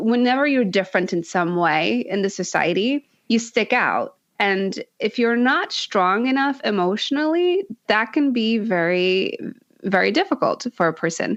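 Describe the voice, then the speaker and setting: Speaking at a moderate pace in a fairly high pitch, a woman makes very wide pitch swings while keeping her loudness very even. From Poland. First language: Polish. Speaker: speech pathologist and accent coach. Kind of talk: interview conversation.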